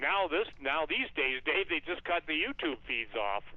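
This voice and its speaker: Intonation here is lively. The speaker is a man with fairly high pitch. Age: 60s. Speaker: talk radio guest and author. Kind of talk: radio interview. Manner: animated.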